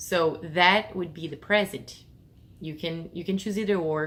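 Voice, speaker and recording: A woman with a Portuguese accent speaks at a moderate pace with ordinary pitch variation. Her pitch sits fairly low. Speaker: English teacher. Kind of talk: tutorial. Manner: casual, with fillers and self-corrections.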